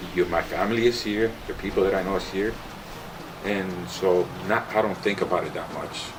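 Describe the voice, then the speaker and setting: A man with a Spanish accent speaks at a moderate pace in a fairly low, monotone, flat voice. Noticeable background noise runs beneath him. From Cuba. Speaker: parent of the filmmaker. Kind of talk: documentary interview.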